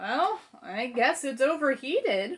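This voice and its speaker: A put-on character voice at a fairly slow pace. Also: woman, high pitch for a woman. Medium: read story.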